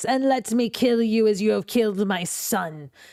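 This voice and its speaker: A female-sounding voice puts on a character voice at a fairly high pitch. The tone is menacing and furious, the pace moderate. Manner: menacing, furious.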